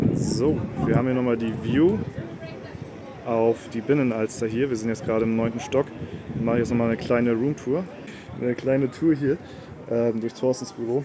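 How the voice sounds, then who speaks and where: Speaking at a moderate pace, a man uses a medium pitch and fairly even intonation, with long, frequent pauses. Background noise is noticeable. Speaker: gaming YouTuber vlogging. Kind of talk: casual vlog talk. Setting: on return trip. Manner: casual, filler-heavy.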